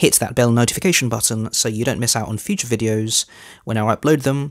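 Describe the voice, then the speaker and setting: A man talks at a fairly quick pace with a quiet background. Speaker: religious video host. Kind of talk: sermon-like commentary to camera. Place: studio. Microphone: headset.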